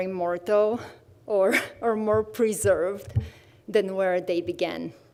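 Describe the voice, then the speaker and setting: With a Bulgarian accent, a woman speaks at a fairly slow pace, her medium pitch showing ordinary variation. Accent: Bulgarian accent, kept after 22 years in US. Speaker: visual artist in residence. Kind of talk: artist presentation.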